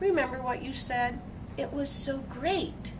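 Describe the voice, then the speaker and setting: Over loud background noise, someone uses a put-on character voice at a fairly slow pace. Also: female-sounding voice. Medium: read story. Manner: eager, dramatic.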